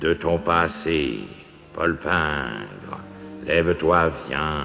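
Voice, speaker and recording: Clear background noise sits under a put-on character voice moving at a very slow pace. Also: man, very deep, low pitch for a man. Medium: read story. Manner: monotone.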